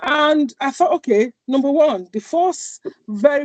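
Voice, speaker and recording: The recording of a woman speaking at a fairly slow pace has a dry, close sound with no echo. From Nigeria, Lagos. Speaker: charity founder. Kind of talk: interview.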